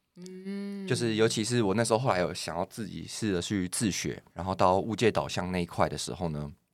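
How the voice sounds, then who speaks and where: A man's plain, everyday voice at a fairly low pitch and a fairly quick pace, with ordinary pitch variation, hardly any pauses, and a very clean recording with a silent background. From Taiwan, Taipei. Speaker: data engineer. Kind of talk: casual interview.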